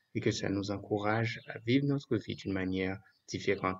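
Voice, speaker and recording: A man's voice with ordinary pitch variation at a fairly slow pace. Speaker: evangelist preacher. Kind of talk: prayer then sermon. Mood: calm, earnest. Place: home room. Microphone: webcam.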